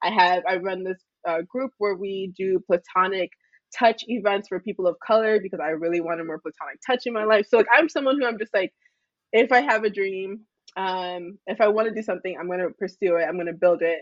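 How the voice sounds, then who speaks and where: In a normal speaking voice, a woman talks at a medium pitch with ordinary pitch variation. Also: fairly quick pace. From Texas, Houston. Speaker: sex educator. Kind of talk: casual chat.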